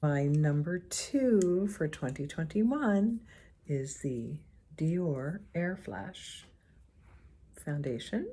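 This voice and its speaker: A woman speaks in a fairly low pitch, somewhat breathy and dark, mellow in tone, with lively intonation. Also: very clean recording, silent background. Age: 60s. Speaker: beauty vlogger. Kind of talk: casual talk to camera.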